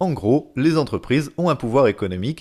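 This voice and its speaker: In a very clean recording with a silent background, a man at medium pitch speaks with very wide pitch swings. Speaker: educational podcast host. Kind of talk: scripted narration.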